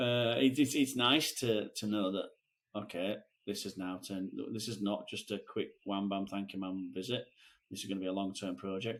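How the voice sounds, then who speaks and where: A man with a Lancashire accent talks at a moderate pace. His pitch is fairly low, with ordinary variation. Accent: northern English (Lancashire). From northern England. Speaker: podcast co-host, screen printer. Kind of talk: casual chat. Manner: halting.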